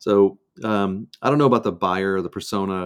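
An American-accented man's voice, very deep and low in pitch. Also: very clean recording, silent background. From US Midwest, outside Cleveland, Ohio. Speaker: startup sales and marketing executive. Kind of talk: interview conversation.

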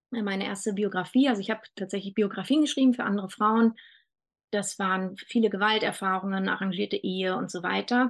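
An unremarkable speaking voice, this woman talks at medium pitch with fairly even intonation. Her pace is fairly quick against a quiet background. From Germany, Berlin. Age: 40s. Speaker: doula. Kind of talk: casual chat.

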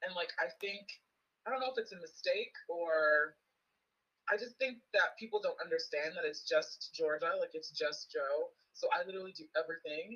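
A woman speaks at a moderate pace, her loudness swinging widely up and down. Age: 20s. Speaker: small business owner. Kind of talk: casual chat.

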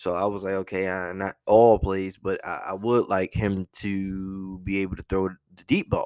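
A man's very deep, low voice in monotone, flat intonation, at a fairly slow pace with hardly any pauses, on a very clean recording with a silent background. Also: dry, close sound with no echo. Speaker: podcast host and sports fan. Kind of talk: casual sports commentary monologue. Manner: casual, conversational, biased fan.

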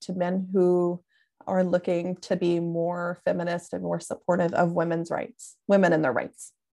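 Fairly low in pitch, a woman speaks at a fairly slow pace in a dark, mellow tone over a quiet background. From US South, Tennessee. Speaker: podcast co-host. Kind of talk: casual chat.

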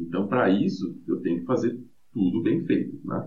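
A man speaks at a moderate pace. Audible room echo surrounds the voice. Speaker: metal band guitarist and vocalist. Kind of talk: casual interview chat. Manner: hesitant, many filler repetitions.

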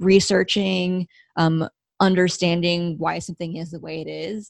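A woman with an American accent speaks at a fairly low pitch and a moderate pace. The sound is dry and close, with no echo. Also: very clean recording, silent background. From Los Angeles, US. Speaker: head of marketing. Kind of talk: casual interview. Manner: hesitant, many fillers.

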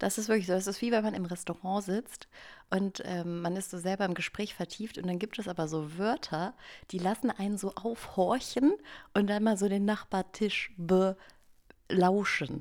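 A woman's plain, everyday voice, medium in pitch and moderate in pace, with fairly even intonation in a very clean recording with a silent background. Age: 30s. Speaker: podcast co-host, former writer on parental leave. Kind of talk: casual chat.

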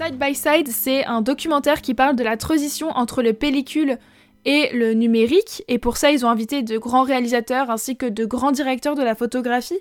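At a moderate pace, a woman speaks in a high pitch with ordinary pitch variation, on a very clean recording with a silent background. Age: 20s. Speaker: film and book podcast host. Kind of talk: casual review monologue.

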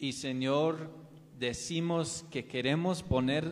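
A man's fairly high-pitched voice at a very slow pace, with ordinary pitch variation. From US South, North Carolina. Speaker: missionary preacher. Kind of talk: sermon. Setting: church.

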